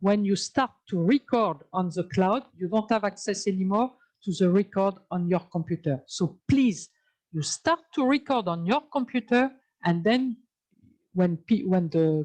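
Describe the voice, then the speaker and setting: A woman at a fairly slow pace with lively intonation, in a dry, close sound with no echo. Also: medium pitch for a woman. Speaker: Zoom training instructor. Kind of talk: tutorial. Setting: video call. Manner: halting, many fillers.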